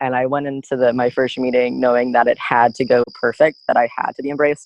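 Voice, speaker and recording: A man's monotone, flat delivery at a very fast pace. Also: medium pitch for a man. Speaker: blind student advocate. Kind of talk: podcast interview.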